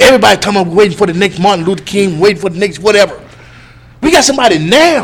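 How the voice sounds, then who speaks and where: A man talks very fast in a high voice, with lively intonation and an animated tone. Noticeable background noise is present. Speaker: live stream host. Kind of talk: casual chat. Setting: live stream.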